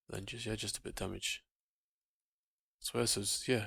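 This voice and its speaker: A soft-spoken man is talking. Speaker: gaming video creator. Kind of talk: gameplay commentary. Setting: home recording late at night.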